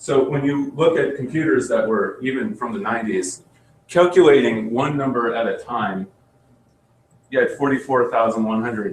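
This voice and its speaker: A man at a moderate pace, with lively intonation. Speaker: software instructor. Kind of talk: tutorial. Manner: halting.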